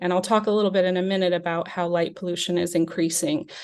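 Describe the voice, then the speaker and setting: A woman speaks at a medium pitch with an American accent. The background is quiet. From US Southwest, New Mexico. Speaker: travel journalist. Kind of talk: lecture. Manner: hesitant, many fillers.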